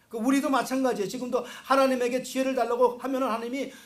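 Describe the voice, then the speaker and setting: An extremely high-pitched man at a very fast pace, with audible room echo and noticeable background noise. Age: 60s. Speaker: pastor. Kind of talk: sermon.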